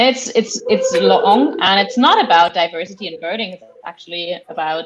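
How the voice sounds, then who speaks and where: Against loud background noise, a woman with a German accent talks at a medium pitch and moderate pace, her intonation lively and her loudness swinging widely. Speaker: Wikidata editor, livestream guest; guest. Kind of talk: casual group discussion while live editing. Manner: hesitant, filler-heavy. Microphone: video call.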